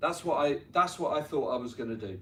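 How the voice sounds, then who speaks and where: A man talks with a London accent. His pitch swings very widely. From North London, England. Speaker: tennis coach and business owner speaking to students. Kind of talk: motivational talk to students. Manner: conversational, frequent 'right?' tags.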